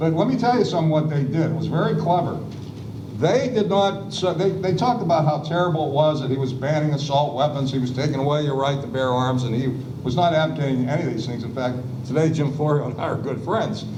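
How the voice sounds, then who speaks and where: A man with a fairly high pitch talks very fast, his pitch varying in an ordinary way. Noticeable background noise and audible room echo fill the recording. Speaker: panelist, former legislative staffer. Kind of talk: panel discussion. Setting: public event with audience, seated. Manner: hesitant fillers.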